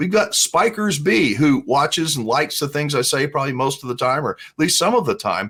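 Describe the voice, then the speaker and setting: A man with an ordinary speaking voice talks at a fairly quick pace with hardly any pauses. His pitch is fairly high and his intonation lively. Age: 60s. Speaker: RV vlogger. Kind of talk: casual commentary reading viewer comments. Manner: conversational.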